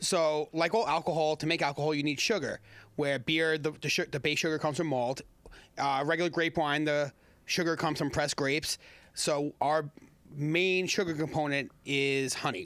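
With an American accent and a plain, everyday voice, a man speaks at a moderate pace in a fairly high pitch, with fairly even intonation and very even loudness, on a very clean recording with a silent background. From Long Island, New York. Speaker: meadery owner. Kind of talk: casual chat.

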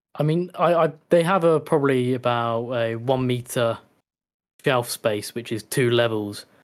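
In a very clean recording with a silent background, a man with an English accent speaks at a moderate pace, using a medium pitch and ordinary pitch variation. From England. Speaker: disc collector, community member. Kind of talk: casual chat.

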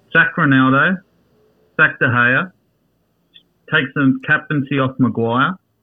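A man with an Australian accent speaks very slowly in a fairly high voice, with fairly even intonation, very even loudness and long, frequent pauses. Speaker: football fan. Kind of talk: casual chat. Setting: studio.

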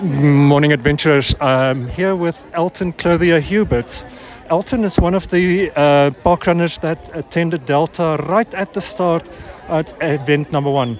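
A man's fairly high-pitched voice in a South African accent, fairly slow, with ordinary pitch variation and noticeable background noise. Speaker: roving reporter. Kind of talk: interview.

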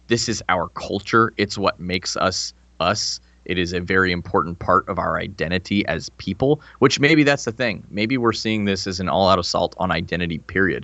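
A man with a normal speaking voice and a fairly low pitch talks at a moderate pace with lively intonation. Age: 30s. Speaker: former army officer and podcast host. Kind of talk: casual chat. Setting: podcast recording.

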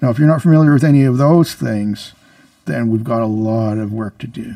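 This man has an ordinary speaking voice at medium pitch, with a Canadian accent. He keeps a moderate pace and ordinary pitch variation. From Canada. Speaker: comedian guest. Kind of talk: casual comedic interview, bits and joking. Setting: radio studio.

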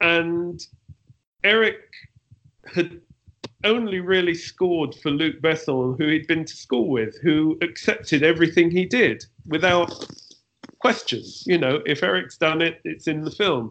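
With a London accent and a high pitch, a man talks at a fairly slow pace, leaving long, frequent pauses and varying his pitch in an ordinary way. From London, England. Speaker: film composer. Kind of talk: interview.

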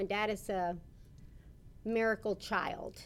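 Speaking in an ordinary speaking voice, a woman with an American accent keeps a fairly slow pace. Her pitch is fairly high, with ordinary pitch variation. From US South, Rio Grande City, Texas. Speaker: bishop's wife. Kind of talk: interview.

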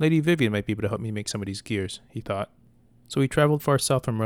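The intonation sounds lively. This is reading aloud in a natural voice.

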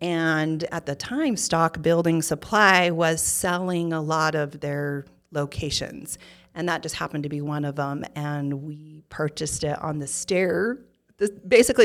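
Fairly slowly, a woman speaks in a fairly low voice. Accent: Utah. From Utah, Provo. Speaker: interior design business owner. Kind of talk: interview. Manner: animated.

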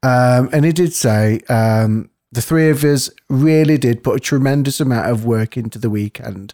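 With an unremarkable speaking voice, a man talks at a medium pitch with ordinary pitch variation and hardly any pauses. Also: moderate pace. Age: 40s. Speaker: spiritual podcast co-host. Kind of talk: casual chat.

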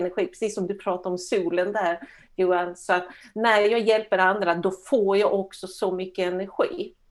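A woman talks in a flat monotone on a very clean recording with a silent background. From Sweden. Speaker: coach. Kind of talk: interview.

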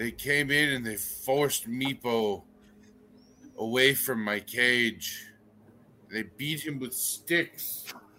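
A put-on character voice, growling and guttural, at a very slow pace with long, frequent pauses. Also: man, medium pitch for a man. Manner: proud, aggrieved.

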